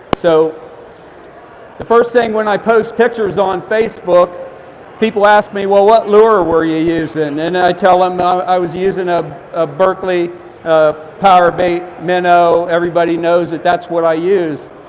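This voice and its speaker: Loud, with an American accent and fairly even intonation, the voice moves at a moderate pace over noticeable background noise. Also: man, high pitch for a man. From Ohio. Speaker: fishing expert giving a seminar. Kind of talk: seminar talk. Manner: halting, many fillers.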